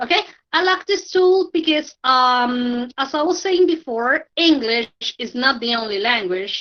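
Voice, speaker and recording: Fairly slowly and in a Spanish accent, a woman talks in a high voice with very wide pitch swings. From Colombia. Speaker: language teacher. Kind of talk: online tutorial. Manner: halting, with many fillers.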